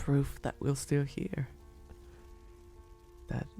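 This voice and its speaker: A man whispers in a gentle, soft-spoken tone while music plays in the background. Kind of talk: ASMR roleplay, soft spoken comforting talk to listener. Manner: soft-spoken, gentle, whispery.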